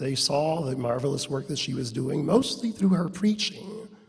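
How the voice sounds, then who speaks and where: A man's pitch swings very widely, and his voice is somewhat breathy. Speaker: award presenter at gala. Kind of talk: award introduction speech.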